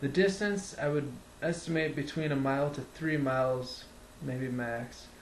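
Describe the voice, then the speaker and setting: A man with an American accent talks at a fairly slow pace. His fairly high voice carries audible room echo. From central Wisconsin, Wood County. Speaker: vlogger recounting personal experience. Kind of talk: casual first-person storytelling. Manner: halting, many fillers.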